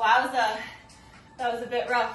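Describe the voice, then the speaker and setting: Music plays behind a woman with a high pitch. Audible room echo fills the space. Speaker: fitness instructor. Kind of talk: workout instruction, counting down. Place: home room. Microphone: camera far.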